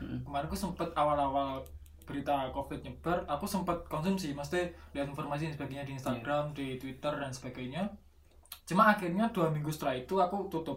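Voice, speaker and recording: Audible room echo surrounds a man speaking at a very fast pace. His fairly high pitch has ordinary variation. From East Java, Nganjuk. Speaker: illustrator. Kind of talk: casual chat.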